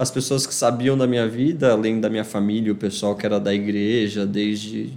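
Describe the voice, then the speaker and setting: A man with an unremarkable speaking voice talks at a moderate pace, his fairly low pitch following a fairly even intonation. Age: 20s. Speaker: guest, adoptee sharing his story. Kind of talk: casual chat. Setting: at a friend's house, informal home recording.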